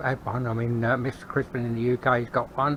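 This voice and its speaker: Over noticeable background noise, a man speaks at medium pitch. His intonation stays fairly even. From England, London. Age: 70s. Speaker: hobby metalworker YouTuber. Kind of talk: workshop tour. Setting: garage workshop. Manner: halting, many fillers and repeats; casual.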